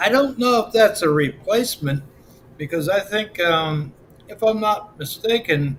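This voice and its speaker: In an American accent, the speaker keeps a moderate pace with lively intonation. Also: man. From Pennsylvania, US. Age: 60s. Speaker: livestreamer. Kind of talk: casual chat. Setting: live stream. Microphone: built-in webcam.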